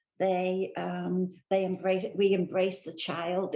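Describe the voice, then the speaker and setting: A woman speaks with a British accent. Her tone is dark and mellow. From England. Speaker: church member. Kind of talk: interview.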